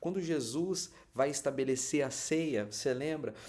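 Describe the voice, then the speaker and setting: Lively intonation runs through this man's speech. He has a fairly high pitch. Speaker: pastor. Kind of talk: sermon. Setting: livestream. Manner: animated.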